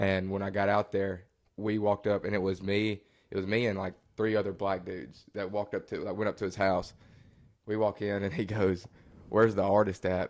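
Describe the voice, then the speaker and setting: A man with a strong Southern US accent, fairly low pitch and monotone, flat intonation at a fairly quick pace, in a very clean recording with a silent background. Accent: thick Southern country. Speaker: country singer. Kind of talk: casual chat.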